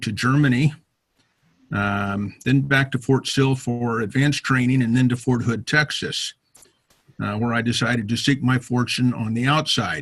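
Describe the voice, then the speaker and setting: At a fairly slow pace, a man speaks in a somewhat breathy voice at medium pitch. His intonation stays fairly even. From US, military family moving around. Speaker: retired army officer, motorcyclist. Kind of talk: self-introduction talk to a club. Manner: many filler words (uh, um).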